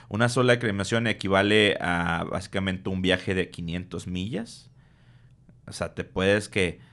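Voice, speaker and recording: Over a quiet background, a man with a fairly low pitch speaks at a fairly slow pace with fairly even intonation. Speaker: podcast co-host. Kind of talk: casual chat. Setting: studio.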